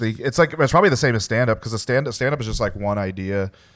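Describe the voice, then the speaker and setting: A man talks in a normal speaking voice at medium pitch. His pitch variation is ordinary. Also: very clean recording, silent background. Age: 30s. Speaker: podcast host. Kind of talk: casual chat. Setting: studio.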